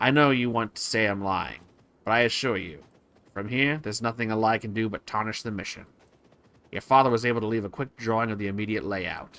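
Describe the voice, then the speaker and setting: A man uses a put-on character voice at a medium pitch. He moves at a fairly quick pace. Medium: game stream. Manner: calm, businesslike.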